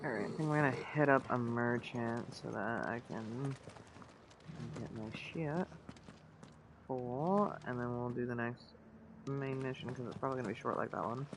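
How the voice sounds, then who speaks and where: Noticeable background noise sits under speech at a moderate pace broken by long, frequent pauses. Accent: American. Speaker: gaming streamer. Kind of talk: casual chat. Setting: livestream with headset.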